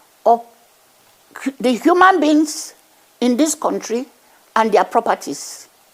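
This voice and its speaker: With very wide pitch swings, a woman speaks at a high pitch and a fairly slow pace. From Nigeria, Niger Delta (Warri). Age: 80s+. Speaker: traditional chief and activist. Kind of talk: TV news interview. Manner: emphatic.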